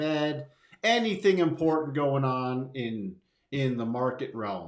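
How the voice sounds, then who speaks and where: The man's intonation is lively as he talks. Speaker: market livestream host. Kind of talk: live market commentary stream. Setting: live stream. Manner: animated, extra intonation.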